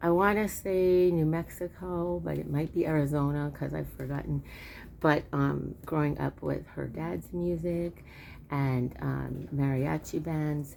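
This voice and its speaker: Soft-spoken, a woman talks at a fairly slow pace. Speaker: home cook video host. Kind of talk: casual chat. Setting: outdoors. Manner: hesitant, many fillers.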